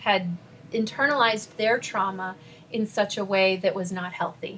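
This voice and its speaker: Using a plain, everyday voice, a woman talks at a moderate pace with ordinary pitch variation. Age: 40s. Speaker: spiritual life coach. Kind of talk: podcast interview.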